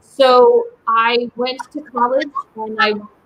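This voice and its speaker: A woman speaks with a Polish accent. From US, Polish immigrant family. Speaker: writer and small business owner. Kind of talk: interview conversation.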